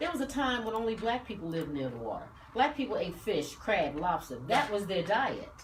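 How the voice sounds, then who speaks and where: With music in the background and audible room echo, a woman talks fairly quickly in a fairly high voice with very wide pitch swings. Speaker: radio talk show host. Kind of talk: casual chat.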